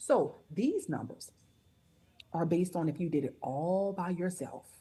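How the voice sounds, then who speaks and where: Somewhat breathy with a dark, mellow tone, the voice moves at a fairly slow pace with ordinary pitch variation. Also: woman, fairly low pitch for a woman. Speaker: network marketing presenter. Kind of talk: sales pitch.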